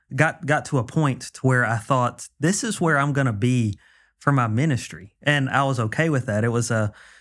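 A man speaks in a medium pitch with ordinary pitch variation. The recording is very clean, with a silent background. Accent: Mississippi. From Mississippi, Meridian. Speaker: pastor. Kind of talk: interview. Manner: halting.

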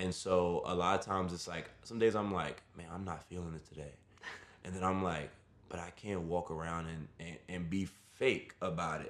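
In an American accent, a man with a very deep, low pitch speaks at a moderate pace in a monotone, flat intonation. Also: big swings in loudness. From New York City, Brooklyn. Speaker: fitness instructor. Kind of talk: casual interview.

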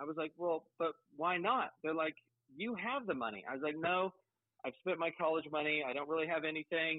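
Talking at a fairly quick pace, a man with an American accent has an ordinary speaking voice, a fairly high pitch and ordinary pitch variation. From Colorado, Pueblo. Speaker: hat maker and business owner. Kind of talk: casual interview.

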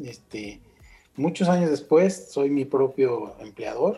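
A man talks with a dark, mellow tone that is somewhat breathy. His intonation is lively. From Mexico, Michoacán (Uruapan). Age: 50s. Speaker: concert promoter. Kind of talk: interview conversation.

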